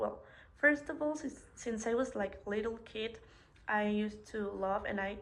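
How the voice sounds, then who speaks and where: A woman talks with a Spanish accent at a fairly slow pace. Her pitch is fairly high, with ordinary pitch variation. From Mexico. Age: 20s. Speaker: hospitality student. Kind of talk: self-introduction presentation.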